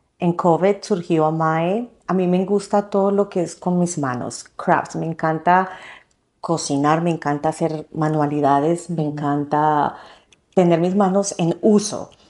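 A woman speaks at a fairly slow pace in an ordinary speaking voice. Her fairly low pitch carries fairly even intonation. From Colombia. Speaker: fashion designer and entrepreneur. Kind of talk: interview. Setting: in person studio.

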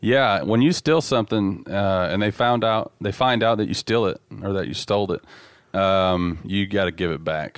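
Someone with a Southern US accent speaks with ordinary pitch variation on a very clean recording with a silent background. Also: man, fairly low pitch for a man, moderate pace. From Dallas, Texas. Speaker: former bank robber. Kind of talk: interview.

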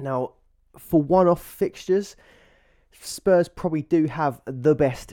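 With an ordinary speaking voice, a man talks at a fairly slow pace with ordinary pitch variation. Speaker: fantasy football podcaster. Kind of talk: casual fantasy football analysis, YouTube-style tips.

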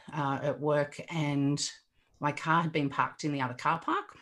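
On a very clean recording with a silent background, a woman with an Australian accent talks at a fairly slow pace with fairly even intonation. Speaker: resilience coach. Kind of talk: casual chat.

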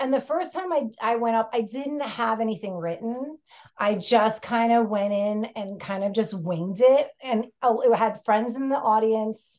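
With a New York accent, a woman talks at a fairly slow pace and fairly high pitch, using ordinary pitch variation. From New York City. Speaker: stand-up comedian, podcast guest.

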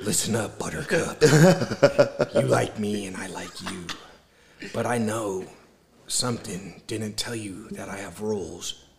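Putting on a character voice, a man speaks at a fairly low pitch. Long, frequent pauses break up his speech. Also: moderate pace. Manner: dominant, growling.

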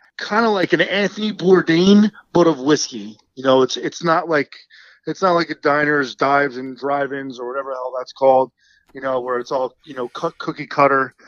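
In an American accent, a man with a fairly high pitch speaks at a moderate pace with ordinary pitch variation and big swings in loudness. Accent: New Jersey, shows when drunk. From Central New Jersey. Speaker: whiskey show host. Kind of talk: casual interview.

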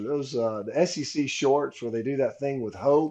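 A man with a Southern US accent speaks at a fairly high pitch in a dark, mellow tone against a quiet background. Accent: Southern US (Georgia). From Georgia, US South. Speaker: former college football player and commentator. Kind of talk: casual chat.

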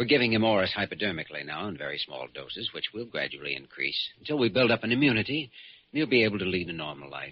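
In a put-on character voice with a slightly husky edge, the speaker goes fast with big pitch swings. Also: man, low pitch for a man.

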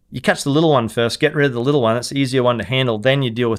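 This man talks with an Australian accent. The rise and fall of his pitch is ordinary. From Queensland, Australia (Hervey Bay / Fraser Island). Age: 40s. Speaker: fishing guide. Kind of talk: interview storytelling.

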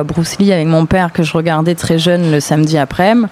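There is noticeable background noise as a woman speaks at a moderate pace. Her pitch is fairly low, and her intonation is fairly even. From southern France, Avignon. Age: 20s. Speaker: singer. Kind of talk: casual interview. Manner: halting, with repetitions.

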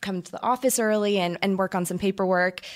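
With a very clean recording, silent background, a woman in an American accent talks at a medium pitch with fairly even intonation in a normal speaking voice. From Orange County, California. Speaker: professional cheerleader. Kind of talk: casual interview chat.

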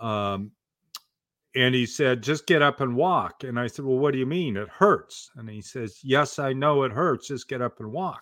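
A man with an American accent talks at a moderate pace in an ordinary speaking voice, with ordinary pitch variation and big swings in loudness. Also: medium pitch for a man. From US Pacific Northwest, Portland, Oregon. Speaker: author and speaking coach. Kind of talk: podcast interview.

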